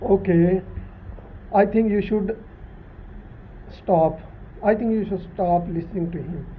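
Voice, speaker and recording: Long, frequent pauses break up this fairly slow speech in a non-native accent. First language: not English. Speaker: YouTube channel host. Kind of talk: casual explanatory chat. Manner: halting.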